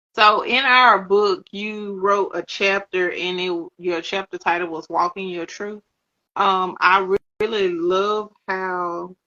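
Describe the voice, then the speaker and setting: Very slowly and in a monotone, flat intonation, a woman speaks with a Southern US accent. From US South. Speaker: author and interview host. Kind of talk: casual interview chat. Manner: relaxed, words run together.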